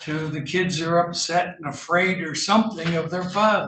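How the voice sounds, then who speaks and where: A man's high-pitched voice in a flat, monotone intonation. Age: 70s. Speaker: defense attorney. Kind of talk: courtroom argument.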